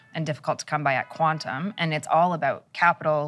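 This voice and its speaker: A woman's fairly low voice is heard over music in the background. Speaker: bitcoin mining executive. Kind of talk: interview.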